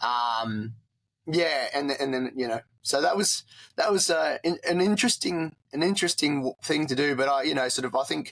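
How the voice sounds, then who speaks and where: A man with an Australian accent and a fairly high pitch, at a moderate pace with ordinary pitch variation, in a very clean recording with a silent background and a dry, close sound with no echo. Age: 40s. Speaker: war veteran. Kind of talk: interview. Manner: halting.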